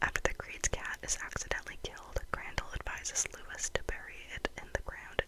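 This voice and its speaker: A woman whispers at a fairly quick pace with hardly any pauses. Noticeable background noise runs underneath. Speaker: ASMR content creator. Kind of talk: ASMR whisper-rambling about movies. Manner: whispered, soft-spoken, rambling.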